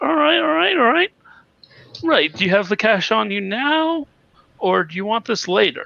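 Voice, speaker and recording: Speaking in a put-on character voice, a man talks at a high pitch with long, frequent pauses. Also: moderate pace. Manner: casual, streetwise.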